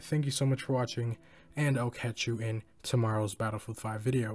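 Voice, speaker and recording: A man speaks quietly at a fairly quick pace in a very clean recording with a silent background. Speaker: gaming YouTuber. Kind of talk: casual vlog commentary.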